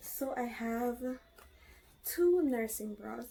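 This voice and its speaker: A quiet woman's voice, high in pitch, with a dark, mellow tone. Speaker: vlogger. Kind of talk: casual show-and-tell vlog. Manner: speaking quietly.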